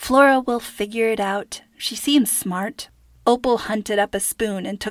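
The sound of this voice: The voice is an unforced reading voice. It reads the text aloud.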